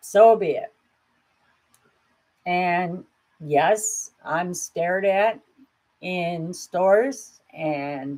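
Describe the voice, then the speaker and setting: A woman speaks at a very slow pace, leaving long, frequent pauses. Her pitch is medium, with ordinary variation. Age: 60s. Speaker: grief support video host. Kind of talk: personal vlog talk. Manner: candid, conversational.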